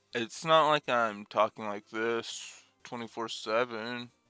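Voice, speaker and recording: A man's medium-pitched voice at a very slow pace, fairly even in intonation, dry and close with no echo, over background music. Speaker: gaming YouTuber. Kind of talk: let's play commentary. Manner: halting.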